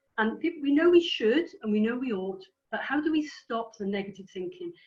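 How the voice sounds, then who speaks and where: In a Welsh accent, a high-pitched woman talks at a fairly quick pace with lively intonation. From Wales. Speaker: career coach trainer. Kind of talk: lecture. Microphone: too quiet, then switched mic.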